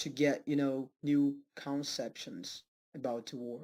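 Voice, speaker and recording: Someone with a Portuguese accent speaks at a very slow pace in a very clean recording with a silent background. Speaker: self-taught language learner. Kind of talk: personal vlog. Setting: home study room. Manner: halting, with many fillers.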